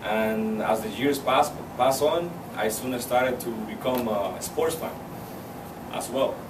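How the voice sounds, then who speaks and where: Audible room echo and noticeable background noise surround the voice. A man speaks at a medium pitch. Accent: Spanish. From Cuba. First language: Spanish. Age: 20s. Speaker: university student. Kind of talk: public speech. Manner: halting, with fillers and repetitions.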